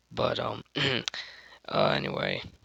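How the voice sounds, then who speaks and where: Music plays in the background as a man talks at a moderate pace. The sound is dry and close, with no echo. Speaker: true crime video creator. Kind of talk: casual narration. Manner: halting, many fillers.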